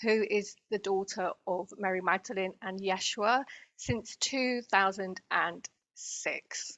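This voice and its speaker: A woman with a British accent speaks at a very slow pace, her medium pitch following fairly even intonation. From Britain. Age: 50s. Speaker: spiritual healer and channeler. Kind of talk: interview.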